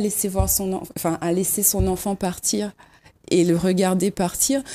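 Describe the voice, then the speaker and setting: The recording is very clean, its background silent. The woman's tone is dark and mellow. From Réunion, Saint-André. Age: 30s. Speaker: local election candidate. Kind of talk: talk show interview.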